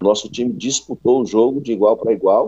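Using a normal speaking voice, a man talks at a moderate speed with a medium pitch. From Ceará, Brazil (Fortaleza). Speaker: football coach. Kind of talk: radio interview.

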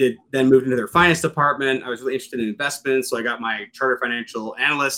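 With an American accent, a man speaks very fast in a bright, sharp tone. His intonation is fairly even, on a very clean recording with a silent background. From Western Pennsylvania, US. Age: 40s. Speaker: space company CEO. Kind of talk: interview.

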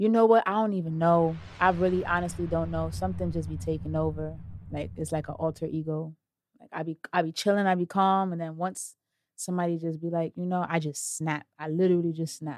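Talking at a fairly quick pace, a woman makes big swings in loudness. The recording is very clean with a silent background. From Brooklyn, New York City (Brownsville). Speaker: rapper. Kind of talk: interview.

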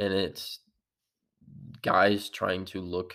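The recording is very clean with a silent background. A man uses an ordinary speaking voice, with a fairly low pitch and fairly even intonation. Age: 20s. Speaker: fitness coach and podcast host. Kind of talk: solo podcast monologue. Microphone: real microphone, better audio.

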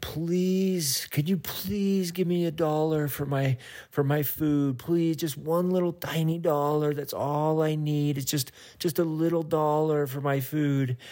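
Putting on a whiny character voice, a man speaks at fairly high pitch and a fairly slow pace, his intonation fairly even and his speech with hardly any pauses. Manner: whiny, begging.

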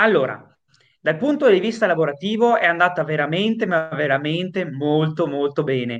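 A man speaks in a normal speaking voice, pitched fairly high. His intonation is lively and his pace moderate. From northern Italy, Padova province. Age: 20s. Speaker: singer-songwriter. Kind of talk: interview. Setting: video call.

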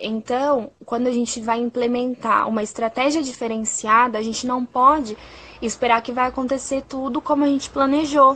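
A woman speaks with a high pitch and a bright, sharp tone. Her intonation stays fairly even. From Brazil, interior of São Paulo state (Sorocaba). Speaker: primary school teacher. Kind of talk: casual conversation. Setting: Instagram live video call.

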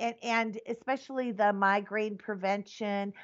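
In an unremarkable speaking voice, someone talks at a fairly slow pace. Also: woman. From US Midwest, Wisconsin. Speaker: activist nun and cannabis product maker. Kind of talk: interview conversation.

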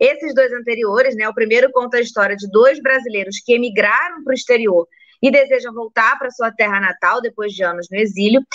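A woman with a fairly high pitch talks at a fairly quick pace with hardly any pauses and ordinary pitch variation, the sound dry and close with no echo. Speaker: livestream host. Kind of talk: casual interview. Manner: animated. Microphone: phone instead of computer.

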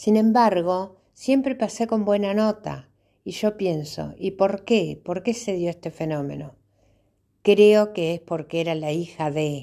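A woman with a Uruguayan accent speaks at a very slow pace in a dark, mellow tone, her pitch medium with ordinary variation. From Uruguay, rural Tacuarembó. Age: 60s. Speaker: memoir narrator. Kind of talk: personal storytelling.

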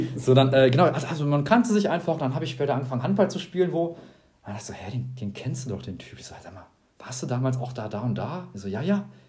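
Audible room echo surrounds a man talking at a very fast pace, with lively intonation and big swings in loudness. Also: medium pitch for a man. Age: 20s. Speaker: podcast co-host, student. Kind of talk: casual chat.

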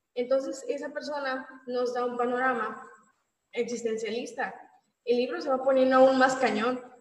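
With audible room echo, a woman speaks in a high pitch and monotone, flat intonation. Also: moderate pace. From Mexico, Mérida (Yucatán). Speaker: book discussion panelist. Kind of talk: casual book discussion.

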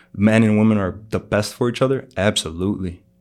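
Speaking at a very fast pace, a man with an American accent uses a fairly low pitch. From Chicago. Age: 30s. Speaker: barber and underground rapper. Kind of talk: casual chat.

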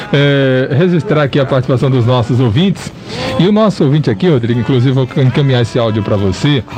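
Over music in the background, a man with a medium pitch talks very fast with lively intonation and very even loudness. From Ipirá, Bahia, Brazil. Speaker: radio show co-host. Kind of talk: radio talk show.

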